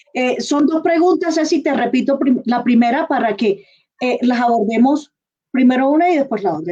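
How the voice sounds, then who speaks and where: A woman with a Colombian coastal accent speaks at a high pitch. Her tone is dark and mellow. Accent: Colombian coastal accent, kept. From Colombian Caribbean coast. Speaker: interviewer. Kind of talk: live online interview.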